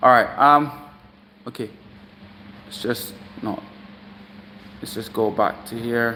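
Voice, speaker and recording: A man's bright, sharp voice at a fairly slow pace, with long, frequent pauses, big swings in loudness, and fairly even intonation. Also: medium pitch for a man. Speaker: fitness coach. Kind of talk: live stream coaching session. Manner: halting, many fillers.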